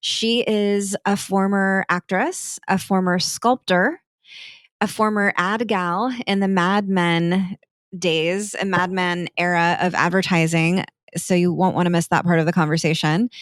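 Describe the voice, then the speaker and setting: A woman in a plain, everyday voice, fairly slow, with fairly even intonation and very even loudness, in a dry, close sound with no echo and a very clean recording with a silent background. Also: medium pitch for a woman. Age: 40s. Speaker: podcast host. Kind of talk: interview host talk.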